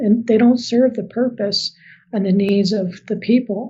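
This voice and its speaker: At a moderate pace, a woman talks with a dark, mellow, somewhat breathy tone and fairly even intonation. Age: 50s. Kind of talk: podcast interview.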